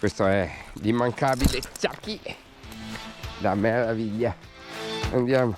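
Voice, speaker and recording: Over music in the background, a man at a medium pitch talks at a very slow pace with fairly even intonation and long, frequent pauses. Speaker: urban explorer. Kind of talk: casual outdoor vlog narration. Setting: outdoors.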